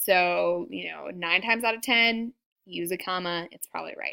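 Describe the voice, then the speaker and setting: A woman speaks at a moderate pace in a bright, sharp tone. The recording is very clean, with a silent background. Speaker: teacher. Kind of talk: lecture. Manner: casual with fillers.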